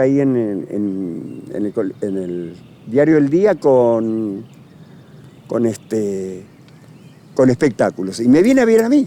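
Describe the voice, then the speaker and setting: A man with a dark, mellow tone moves his pitch through very wide swings. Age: 80s+. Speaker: actor. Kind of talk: interview. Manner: halting.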